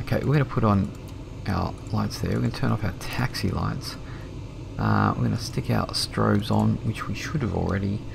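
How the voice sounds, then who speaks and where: Relaxed tone from a man with an Australian accent, at a moderate pace with long, frequent pauses, over noticeable background noise. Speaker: flight sim streamer. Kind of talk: casual live-stream commentary. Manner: relaxed, hesitant with fillers.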